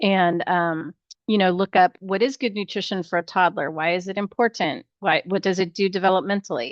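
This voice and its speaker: In a dry, close sound with no echo and a quiet background, a woman talks at a moderate pace and medium pitch with ordinary pitch variation. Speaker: nursing instructor. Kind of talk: online class lecture. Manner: hesitant, many fillers.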